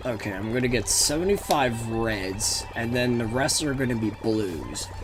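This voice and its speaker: Over noticeable background noise and audible room echo, a man speaks at a moderate pace and medium pitch with ordinary pitch variation. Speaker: gaming video commentator. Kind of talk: gameplay commentary. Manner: halting, with repeated words.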